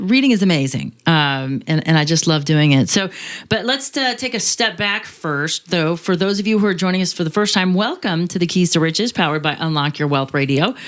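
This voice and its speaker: Lively intonation marks this woman's fairly low-pitched voice. She keeps a moderate pace and very even loudness. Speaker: radio host. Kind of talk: show introduction; casual chat. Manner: animated.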